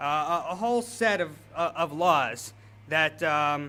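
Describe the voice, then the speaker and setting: A bright, sharp tone with an American accent. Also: man. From US South, Atlanta, Georgia. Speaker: author and journalist giving a speech. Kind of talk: speech. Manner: halting, many fillers.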